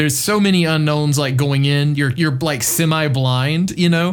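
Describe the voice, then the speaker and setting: A man speaks with a fairly high pitch, ordinary pitch variation and an ordinary speaking voice. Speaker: podcast co-host. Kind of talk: casual chat.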